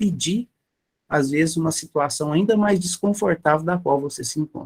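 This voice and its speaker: The man's voice comes across dry and close, with no echo at all. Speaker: spiritist lecturer. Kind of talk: lecture.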